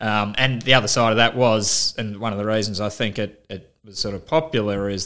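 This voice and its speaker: In an Australian accent, a man talks at a fairly quick pace. His voice sits fairly low in pitch with a bright, sharp tone. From Melbourne, Australia. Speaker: farmer. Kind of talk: interview. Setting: in person.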